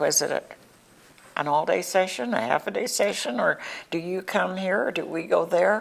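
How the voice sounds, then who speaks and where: Noticeable background noise is heard while a woman talks at a moderate pace. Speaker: local TV interviewer. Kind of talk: local cable TV interview.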